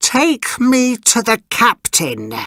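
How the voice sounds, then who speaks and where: An extremely high-pitched, put-on character voice from a man. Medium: read story.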